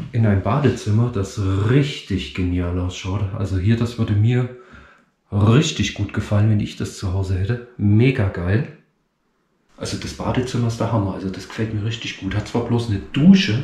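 Somewhat breathy, a man talks at a fairly low pitch with audible room echo. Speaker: urban explorer vlogger. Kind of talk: casual vlog chat. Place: home room. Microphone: phone near.

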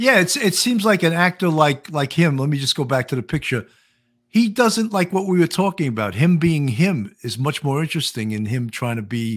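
A man's fairly high, very widely swinging voice in an American accent, at a fairly quick pace over a quiet background. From New York. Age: 60s. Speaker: podcast host and retired police detective. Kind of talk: casual interview chat. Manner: jokey, comedic. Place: home room.

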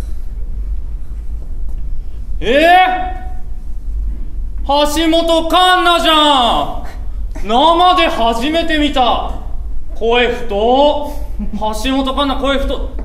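A man talks at a very slow pace with lively intonation. Room echo is audible around his voice. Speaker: comedian. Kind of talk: stand-up comedy monologue. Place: stage.

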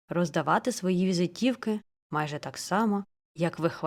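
The pitch moves in an ordinary way. It is plain reading aloud over a quiet background.

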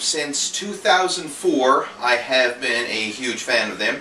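Audible room echo and light background noise surround this voice. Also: man. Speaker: fitness coach. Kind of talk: casual vlog chat. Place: office. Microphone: camera far.

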